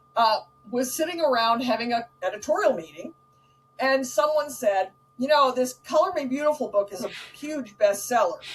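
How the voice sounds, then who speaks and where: Over music in the background, a woman speaks in a high pitch with lively intonation. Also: moderate pace. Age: 60s. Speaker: author and speaker. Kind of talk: casual chat.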